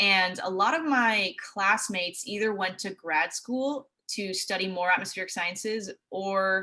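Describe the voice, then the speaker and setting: Woman with a West Coast accent, medium pitch, ordinary pitch variation and a moderate pace. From US Pacific Northwest, Seattle. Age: 20s. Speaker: TV meteorologist. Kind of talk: presentation. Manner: casual.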